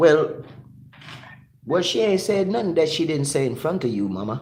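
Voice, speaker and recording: Over noticeable background noise and audible room echo, a man with a Jamaican accent talks at a moderate pace, his fairly high pitch swinging very widely. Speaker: live stream host. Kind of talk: casual chat. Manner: repetitive, halting restarts.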